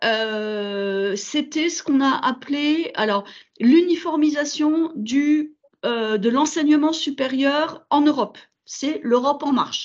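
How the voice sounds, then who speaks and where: The pace is very slow. The intonation is lively. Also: woman, high pitch for a woman, quiet background. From Burgundy, France. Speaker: veterinary school administrator. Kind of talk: online presentation. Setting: video call. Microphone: video call.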